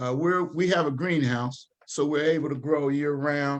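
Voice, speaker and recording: In a normal speaking voice, a man with an American accent talks at a fairly slow pace and fairly high pitch with fairly even intonation. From Dayton, Ohio, US Midwest. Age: 60s. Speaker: community organization leader. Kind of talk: panel presentation at online town hall. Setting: livestreamed town hall.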